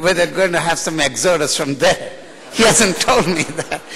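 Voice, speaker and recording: A high-pitched man with an American accent over noticeable background noise. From India. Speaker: university professor. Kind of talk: ceremonial speech. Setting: stage with audience. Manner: unscripted, off the cuff.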